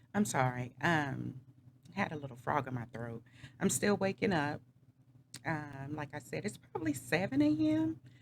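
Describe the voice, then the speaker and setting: A woman's very deep, low voice with long, frequent pauses. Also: ordinary pitch variation, moderate pace. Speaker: vlogger. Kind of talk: personal testimony vlog. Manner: casual with frequent fillers.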